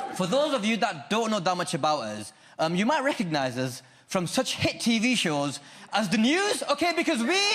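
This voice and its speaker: Over noticeable background noise and audible room echo, a man with a high pitch speaks at a moderate pace, his pitch swinging very widely. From Lancashire, northern England. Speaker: stand-up comedian. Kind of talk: stand-up. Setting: stage with audience.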